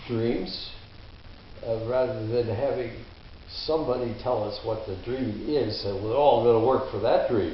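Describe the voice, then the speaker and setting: With noticeable background noise and audible room echo, a man speaks at a fairly slow pace with fairly even intonation. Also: medium pitch for a man. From Detroit, US Midwest. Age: 80s. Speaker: interviewee. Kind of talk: interview.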